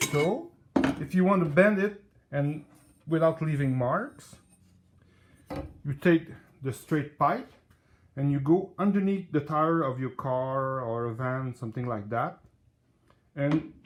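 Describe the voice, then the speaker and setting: A man's fairly high, somewhat breathy voice with a strong French accent, ordinary pitch variation, a fairly slow pace and long, frequent pauses. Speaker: DIY hobbyist. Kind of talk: tutorial. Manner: halting.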